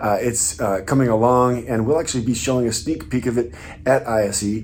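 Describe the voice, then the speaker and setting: Noticeable background noise and audible room echo around a man's fairly quick speech. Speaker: software company executive. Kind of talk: company video update. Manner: hesitant, many fillers.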